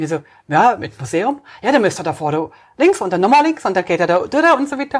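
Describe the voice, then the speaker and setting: A woman speaks with a French accent at a very fast pace. Her medium-pitched voice moves through very wide pitch swings. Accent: non-native Swiss German, French-like. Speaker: travel podcast co-host. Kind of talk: casual chat.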